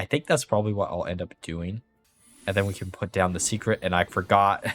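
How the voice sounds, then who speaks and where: With music in the background, a man speaks at a fairly low pitch in a dry, close sound with no echo. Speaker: video game streamer. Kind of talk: gameplay commentary.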